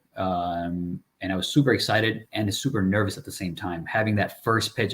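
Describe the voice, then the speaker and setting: On a very clean recording with a silent background, a man speaks in a fairly low, somewhat breathy voice with ordinary pitch variation. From immigrant to the US as a child, raised in Chicago area. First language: not English. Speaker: real estate investor, former accountant. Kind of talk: interview.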